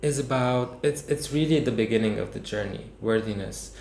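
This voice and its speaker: Male speech with fairly even intonation and audible room echo. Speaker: movement and healing workshop teacher. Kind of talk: online workshop talk. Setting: online session with screen share. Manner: halting, many restarts and fillers.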